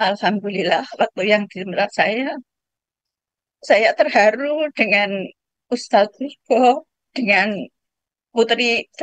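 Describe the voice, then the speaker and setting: Very slow and marked by long, frequent pauses, a woman's speech holds very even loudness and ordinary pitch variation in a dry, close sound with no echo. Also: fairly high pitch for a woman. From Lombok, Indonesia. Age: 70s. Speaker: participant asking a question. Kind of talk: testimony.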